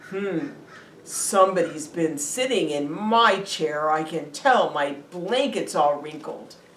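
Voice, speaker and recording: A woman's raspy put-on character voice, fairly low in pitch, with lively intonation at a fairly slow pace, plus audible echo. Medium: read story.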